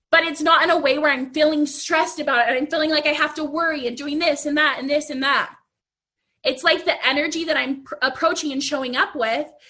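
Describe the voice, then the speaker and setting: Raised and projected, this woman's high-pitched voice has a bright, sharp tone and fairly even intonation as she speaks at a very fast pace. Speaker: business coach for artists. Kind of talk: live Q&A / coaching chat. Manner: casual, conversational.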